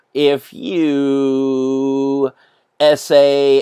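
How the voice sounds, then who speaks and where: A man's fairly high voice, dry and close with no echo. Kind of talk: casual podcast outro. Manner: halting, filler-heavy, repeats words.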